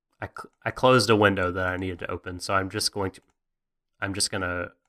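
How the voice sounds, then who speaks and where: A man's bright, sharp voice with an American accent and fairly low pitch, dry and close with no echo, over a quiet background. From US South (Mississippi/Alabama). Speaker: podcast co-host. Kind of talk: casual podcast chat.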